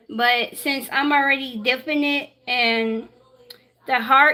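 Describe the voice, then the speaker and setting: A high-pitched woman with a raised, projected voice at a very slow pace. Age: 20s. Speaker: baking livestreamer. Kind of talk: cooking tutorial livestream. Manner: halting.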